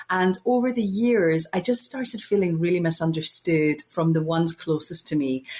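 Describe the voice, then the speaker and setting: With a Glasgow accent, a woman with a fairly low pitch speaks with lively intonation, very even loudness and hardly any pauses over noticeable background noise. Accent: Scottish, Glasgow. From Scotland, Glasgow. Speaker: podcast guest, spiritual speaker. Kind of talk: interview conversation. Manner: fast.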